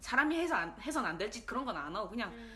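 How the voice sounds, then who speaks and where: Very wide pitch swings mark the voice, heard over noticeable background noise. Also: woman. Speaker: podcast co-host. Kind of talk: casual chat.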